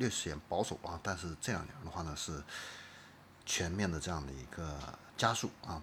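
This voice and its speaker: A man's very deep, low voice with a bright, sharp tone, at a moderate pace. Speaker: podcast host. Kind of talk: solo commentary on car industry. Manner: many filler particles and hesitations.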